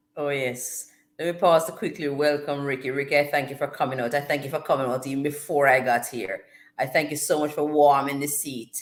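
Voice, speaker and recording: A woman with a very deep, low voice and a Jamaican accent, at a fairly quick pace. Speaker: livestream host. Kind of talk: casual chat. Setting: live stream with chat. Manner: animated.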